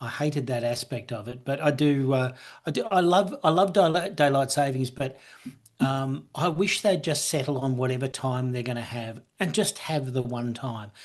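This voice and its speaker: Speaking at a moderate pace with ordinary pitch variation, the voice carries an Australian accent. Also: man, medium pitch for a man. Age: 60s. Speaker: businessman and author. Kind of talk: casual chat. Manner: halting, many repeated words.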